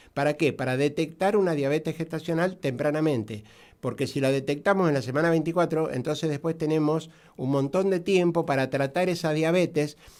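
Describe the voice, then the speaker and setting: A man talks at a fairly quick pace with very even loudness and fairly even intonation on a very clean recording with a silent background. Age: 60s. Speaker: doctor specializing in diabetes. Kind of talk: radio interview. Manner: halting, many fillers.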